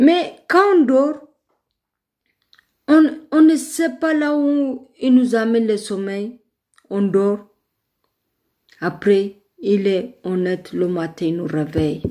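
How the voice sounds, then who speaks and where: A woman with an Ethiopian accent speaks very slowly, her voice dark and mellow. Her pitch swings very widely, and she takes long, frequent pauses. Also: fairly high pitch for a woman. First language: Amharic (speaking French). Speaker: online live streamer. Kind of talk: religious testimony in a live video. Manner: halting, with fillers and repetitions.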